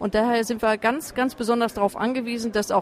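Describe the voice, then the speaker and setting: At a fairly quick pace, a woman with a fairly high pitch speaks in a plain, everyday voice. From Essen, Ruhr area. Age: 40s. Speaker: chair of a patient association. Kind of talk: interview. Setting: side room at a trade fair.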